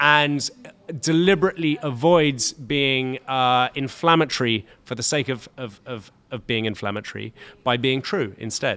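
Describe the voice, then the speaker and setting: A man's bright, sharp tone at medium pitch, with ordinary pitch variation. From London. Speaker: chef and writer. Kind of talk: interview conversation. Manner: fast; halting, many repetitions.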